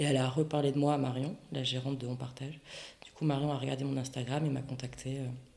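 A woman with a very deep, low pitch at a very fast pace, big swings in loudness, audible room echo and noticeable background noise. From French Basque Country (Bayonne). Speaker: ceramicist. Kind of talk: interview. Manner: animated.

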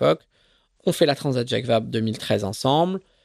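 The man speaks at a fairly slow pace. The sound is dry and close, with no echo. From Marseille, Provence. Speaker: offshore racing sailor. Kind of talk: interview. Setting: kitchen of the office.

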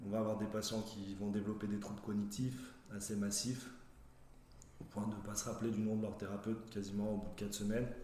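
Audible room echo surrounds a man with a fairly low pitch. He speaks at a fairly quick pace in a monotone with flat intonation. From Saint-Étienne area, France. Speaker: physiotherapist. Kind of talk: casual professional interview.

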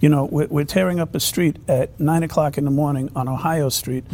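His voice sits at a fairly high pitch. This man sounds somewhat breathy. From New York City. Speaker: former police chief and mayoral candidate. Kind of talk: political roundtable discussion. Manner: hesitant, many fillers.

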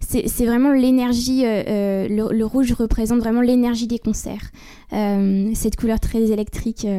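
Her tone is dark and mellow, set at a fairly high pitch for a woman. This woman speaks fairly slowly in a monotone, flat delivery. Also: very even loudness. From France, Libourne (Gironde). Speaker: singer-songwriter. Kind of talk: interview. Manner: halting, many fillers.

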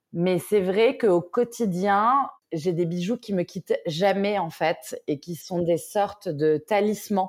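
A woman talks with ordinary pitch variation. Her voice sits at a medium pitch. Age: 30s. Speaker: entrepreneur. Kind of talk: casual interview.

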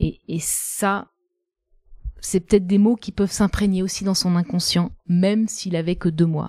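Her tone dark and mellow, a woman speaks at a medium pitch and a fairly slow pace in a dry, close sound with no echo. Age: 40s. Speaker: journalist and patient. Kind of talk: personal testimony in interview.

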